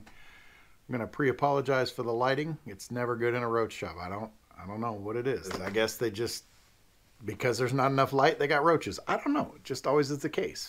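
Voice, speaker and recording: The pace is fairly quick, and the pitch varies in an ordinary way. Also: man. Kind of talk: casual vlog chat. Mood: friendly, lightly joking. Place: office.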